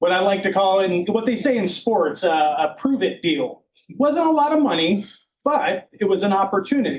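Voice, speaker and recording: A man speaks loudly at a moderate pace, his high pitch swinging very widely. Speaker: county records department head. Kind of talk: public meeting tribute.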